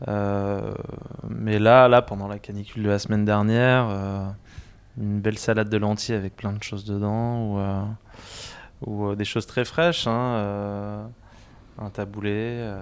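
At a very slow pace with long, frequent pauses, a man speaks in a fairly low pitch with monotone, flat intonation. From Paris area, France. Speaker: restaurant owner. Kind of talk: interview. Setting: in his restaurant. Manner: halting, many repetitions and fillers.

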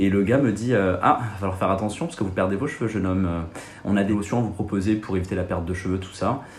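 A man talks at a very fast pace in a fairly low pitch, his pitch varying in an ordinary way, with audible echo from the room. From Marseille, southern France. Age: 20s. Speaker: secondary school physics-chemistry teacher. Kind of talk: casual interview.

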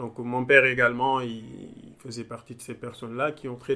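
A man at medium pitch, bright and sharp in tone, at a fairly slow pace with monotone, flat intonation. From Senegal, Thiès region. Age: young. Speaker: data engineer. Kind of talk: interview. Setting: in-person, Dakar. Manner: halting, many repetitions and fillers.

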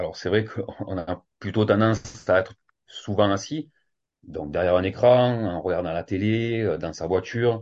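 A man's unremarkable speaking voice, fairly low in pitch, at a fairly slow pace with ordinary pitch variation. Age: 40s. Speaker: fitness coach and yoga teacher. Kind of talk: casual interview.

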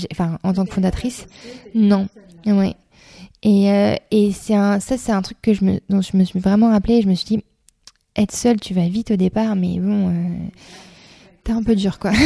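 The woman's tone is dark and mellow, somewhat breathy, with monotone, flat intonation. She speaks at a fairly slow pace with long, frequent pauses. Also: medium pitch for a woman, dry, close sound with no echo. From eastern France, Reims. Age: 30s. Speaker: school founder and director. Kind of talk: interview. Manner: hesitant, many fillers.

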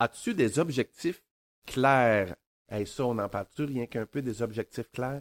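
In a Quebec accent, a man speaks at a fairly slow pace and a medium pitch with ordinary pitch variation, on a very clean recording with a silent background. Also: dry, close sound with no echo. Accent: Québécois French. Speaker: podcast co-host, author. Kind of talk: casual chat.

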